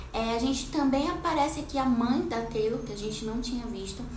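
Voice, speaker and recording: Moderate pace, ordinary pitch variation, noticeable background noise and audible room echo. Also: woman. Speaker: TV series reviewer, content creator. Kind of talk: casual chat, series recap and review. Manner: animated.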